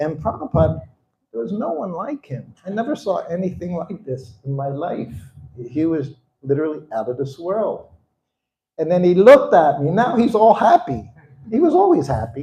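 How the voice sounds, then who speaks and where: Dark, mellow tone from a man with an American accent, high in pitch, with very wide pitch swings at a moderate pace. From US Northeast, Philadelphia. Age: 70s. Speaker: spiritual teacher recounting memories of his guru. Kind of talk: storytelling talk to an audience.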